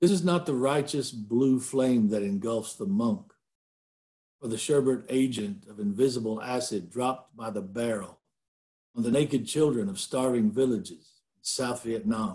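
A man's dark, mellow tone with lively intonation and big swings in loudness over a quiet background. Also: moderate pace. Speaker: poet. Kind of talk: poetry reading. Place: home room. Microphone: webcam.

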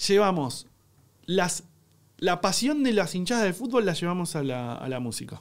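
Very wide pitch swings mark this voice at a moderate pace over a quiet background. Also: man. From Argentina. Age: 30s. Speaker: cook and content creator; content creator. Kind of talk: casual chat. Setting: studio. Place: studio. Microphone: studio mic.

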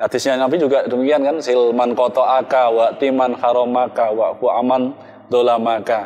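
Speaking at a moderate pace in a flat monotone, a man keeps his loudness very even and hardly pauses at all. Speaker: religious organization official; religious teacher guest. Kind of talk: religious panel discussion. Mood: calm, warm, instructive. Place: hall.

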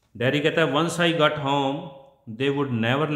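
A man speaks with fairly even intonation. Audible room echo surrounds his voice. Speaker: English teacher. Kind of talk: lecture.

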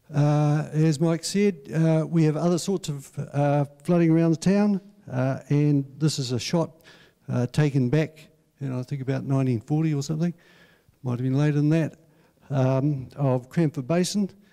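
Against a quiet background, a man speaks at a moderate pace with fairly even intonation and a dark, mellow tone. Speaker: council presenter. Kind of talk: public talk presentation. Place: hall. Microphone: handheld.

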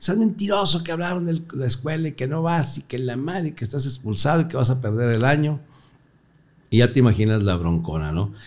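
A man speaks in an animated tone at a fairly quick pace, somewhat breathy. His pitch swings very widely. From northern Mexico, Torreón; northern Mexico. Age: 60s. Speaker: comedian; comedian guest. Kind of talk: casual interview chat. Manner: animated storytelling. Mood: joking, animated storytelling. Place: studio. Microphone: studio mic.

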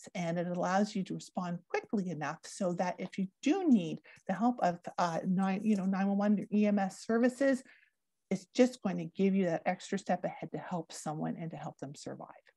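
A woman with a Canadian accent speaks at a moderate pace in a dark, mellow, somewhat breathy tone. Her pitch variation is ordinary, and the sound is dry with no echo over a quiet background. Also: medium pitch for a woman. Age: 40s. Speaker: drowning prevention educator. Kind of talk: educational presentation. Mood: warm, upbeat. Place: home room. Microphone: earbuds.

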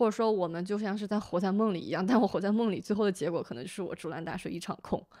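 Talking very fast with hardly any pauses, a woman uses a medium pitch and a dark, mellow tone. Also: ordinary pitch variation, quiet background. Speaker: recent master's graduate; podcast guest. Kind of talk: casual chat. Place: home room. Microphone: studio mic.

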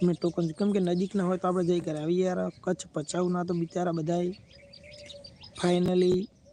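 Noticeable background noise runs under this recording. A man speaks at a high pitch with monotone, flat intonation. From Gujarat, Banaskantha district (Kankrej taluka). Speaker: YouTuber selling lottery tokens. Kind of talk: live stream chat and sales pitch. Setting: YouTube live stream.

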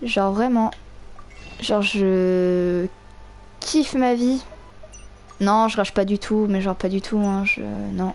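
Speaking very slowly with long, frequent pauses, a woman keeps a medium pitch and a very even loudness. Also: fairly even intonation. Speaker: gaming streamer. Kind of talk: angry rant while gaming, swearing and yelling at the game. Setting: live stream, playing a video game with headset. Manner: loud, exasperated, explosive, with sarcastic outbursts and laughter.

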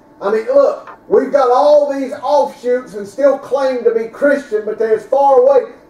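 With a Southern US accent and an extremely high pitch, a man talks at a moderate pace in an animated tone with ordinary pitch variation, amid audible room echo. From US South. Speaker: preacher. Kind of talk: sermon. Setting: church. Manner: animated, emphatic preaching in full flow, with punchy repeated phrases. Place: church. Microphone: camera far.

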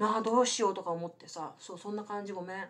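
A woman talks at a very fast pace against a quiet background. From Japan. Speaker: English tutor and YouTuber; English tutor, YouTuber. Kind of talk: bilingual live stream chat. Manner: code-switching English and Japanese. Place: home room. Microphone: webcam.

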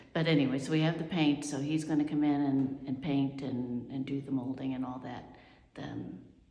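Audible room echo surrounds a woman with a very deep, low pitch and a dark, mellow tone, speaking at a moderate pace with fairly even intonation. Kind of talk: casual vlog chat. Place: home room. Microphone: phone near.

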